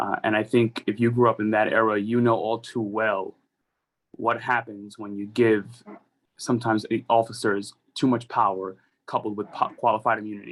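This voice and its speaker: Here is a man with a New York accent and a medium pitch. He speaks at a moderate pace with monotone, flat intonation. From New York City, the Bronx. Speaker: politician. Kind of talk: rally speech. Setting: rally.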